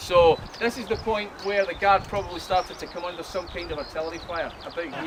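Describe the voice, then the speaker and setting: A man with a Glaswegian accent talks very fast in a high voice, his loudness swinging widely over noticeable background noise. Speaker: battlefield tour guide. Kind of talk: guided tour talk. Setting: outdoors on a battlefield. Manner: animated.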